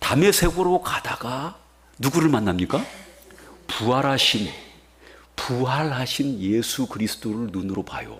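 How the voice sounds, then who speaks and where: Speaking at a fairly slow pace, a man has a medium-pitched voice. His tone is animated and his intonation lively, with noticeable background noise. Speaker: pastor. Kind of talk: sermon.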